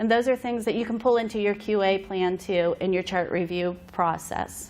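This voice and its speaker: A woman speaks at a medium pitch and a fairly quick pace. Her intonation stays fairly even. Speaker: behavioral health consultant. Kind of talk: conference presentation. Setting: conference room with audience. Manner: fast.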